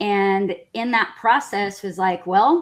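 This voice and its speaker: A woman speaks in a normal speaking voice with an American accent, at a medium pitch with ordinary pitch variation and a fairly slow pace. The recording is very clean, with a silent background. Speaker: Spanish interpreter. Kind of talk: interview testimony.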